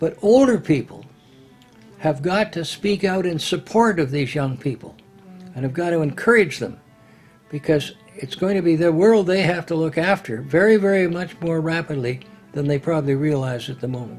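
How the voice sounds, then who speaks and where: Music plays in the background while a man with a Canadian accent speaks at a moderate pace in a high voice. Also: lively intonation. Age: 80s+. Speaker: retired politician. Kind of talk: documentary interview answer.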